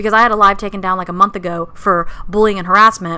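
A woman speaks very fast in an animated tone at a medium pitch. Noticeable background noise is present. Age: 20s. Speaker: podcast co-host. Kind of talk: casual chat.

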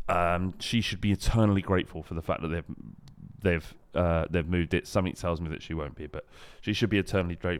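On a very clean recording with a silent background, a man with a very deep, low pitch speaks at a very fast pace with fairly even intonation. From London. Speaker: podcast co-host. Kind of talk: casual chat.

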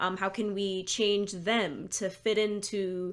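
An American accent with monotone, flat intonation. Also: woman. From Michigan, Lansing area. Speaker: school psychologist and author. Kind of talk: casual interview chat.

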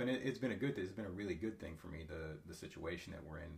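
Audible room echo surrounds a man with an American accent. His voice is somewhat breathy, with ordinary pitch variation. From eastern Ohio, US. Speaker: gym member. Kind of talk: casual chat. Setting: in person, over coffee.

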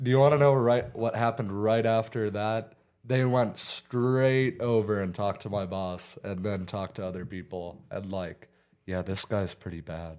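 With an American accent, a man speaks in a normal speaking voice at a fairly low pitch, moderate pace and ordinary pitch variation. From US, Oklahoma Panhandle (Beaver). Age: young. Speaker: former student, young guest. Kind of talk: casual chat.

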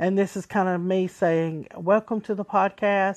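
A woman with a Southern US accent speaks at a moderate pace and a medium pitch against a quiet background. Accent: country, Southern US. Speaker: podcast host. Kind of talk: casual solo podcast monologue. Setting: recorded on a cell phone, ringtone in background. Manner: casual, enthusiastic, a bit halting.

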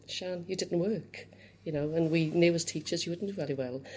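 A woman talks at a fairly quick pace with a Cardiff accent. Her fairly low voice shows ordinary pitch variation. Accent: Welsh (Cardiff). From Wales, Cardiff. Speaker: youth organisation chief executive. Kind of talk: interview.

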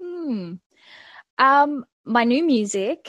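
With lively intonation, a woman speaks over a quiet background, the sound dry and close with no echo. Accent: Australian. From Australia, Melbourne. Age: 20s. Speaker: singer-songwriter. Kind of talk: interview. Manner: hesitant, many fillers.

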